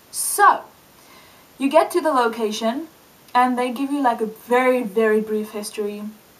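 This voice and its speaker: A woman with a fairly high pitch speaks in an animated tone, using ordinary pitch variation and long, frequent pauses over noticeable background noise. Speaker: video blogger. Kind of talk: casual vlog monologue. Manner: fast.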